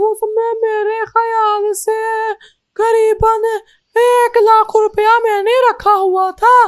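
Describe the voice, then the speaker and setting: A female-sounding cartoonish character voice, extremely high in pitch, flat and monotone, at a very slow pace. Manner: sly, wheedling.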